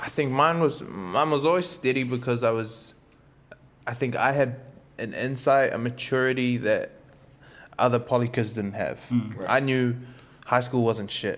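A man's medium-pitched voice with a New Zealand accent, a moderate pace, ordinary pitch variation and long, frequent pauses. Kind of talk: casual chat.

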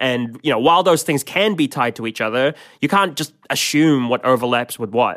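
A man with an unremarkable speaking voice talks at a medium pitch and a moderate pace. His pitch variation is ordinary, on a very clean recording with a silent background. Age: 30s. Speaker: podcast co-host. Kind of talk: documentary-style podcast narration and chat.

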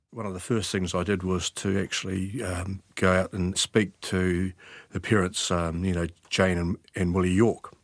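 On a very clean recording with a silent background, a man with a very deep, low voice speaks at a moderate pace in a monotone, flat way. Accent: New Zealand. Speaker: retired detective. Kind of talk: interview. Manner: halting.

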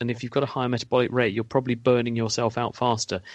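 A man with a British accent speaks at a medium pitch. The background is quiet. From UK. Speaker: science expert. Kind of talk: radio Q&A explanation.

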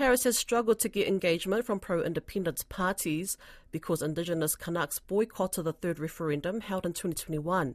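A woman talks at a fairly quick pace in a New Zealand accent, her pitch medium and her intonation lively. The recording is very clean, with a silent background and a dry, close sound with no echo. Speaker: radio presenter. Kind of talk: news presenting.

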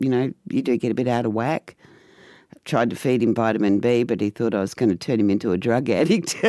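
A woman with an Australian accent speaks at a fairly quick pace, her very deep, low pitch paired with a dark, mellow tone and ordinary pitch variation. The recording is very clean with a silent background and a dry, close sound with no echo. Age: 60s. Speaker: mother of a transgender son. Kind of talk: personal storytelling.

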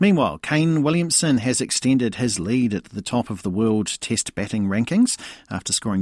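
A man speaks in a New Zealand accent at a fairly quick pace, with very wide pitch swings. The recording is very clean, with a silent background. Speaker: sports news presenter. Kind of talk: news reading, brisk and crisp bulletin delivery. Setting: radio studio. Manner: formal; fluent, even-paced.

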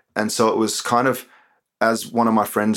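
A man talks at a fairly low pitch with an Australian accent. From Queanbeyan, Australia. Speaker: poet and author. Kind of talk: interview with poetry performance.

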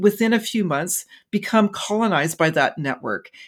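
In a Canadian accent, a woman speaks in a plain, everyday voice at a moderate pace with ordinary pitch variation. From Canada, interior British Columbia. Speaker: forest ecology professor. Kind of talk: interview.

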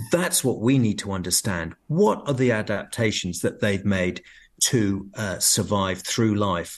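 Against a quiet background, a man talks at a fairly slow pace in a British accent. His pitch is fairly low, with ordinary variation. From UK. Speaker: professor of physiology, medical researcher. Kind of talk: radio interview.

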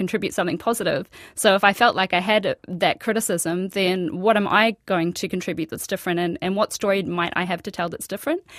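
A woman's medium-pitched voice with an Australian accent, fairly quick and fairly even in intonation, dry and close with no echo in a very clean recording with a silent background. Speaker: architect and author. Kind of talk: radio interview. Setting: studio.

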